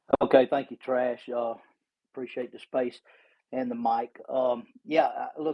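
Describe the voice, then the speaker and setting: A man with a normal speaking voice, moderate pace and ordinary pitch variation. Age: 60s. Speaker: caller in online discussion. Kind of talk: casual discussion. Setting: Twitter Space audio room.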